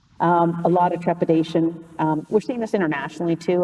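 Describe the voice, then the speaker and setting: Someone with a Canadian accent talks at a fairly quick pace over noticeable background noise. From Canada. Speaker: antitrust lawyer, panelist. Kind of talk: panel discussion. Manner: halting, frequent fillers.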